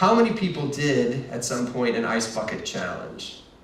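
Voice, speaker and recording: A man talks, and noticeable noise can be heard in the background. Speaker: marketing executive giving a keynote. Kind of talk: conference presentation. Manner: fast; hesitant fillers.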